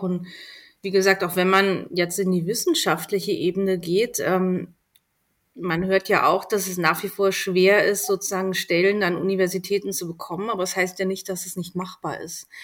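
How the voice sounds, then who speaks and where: Her intonation monotone and flat, a woman speaks at medium pitch and a moderate pace. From Berlin, Germany. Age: 40s. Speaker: magazine editor-in-chief. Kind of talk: casual interview.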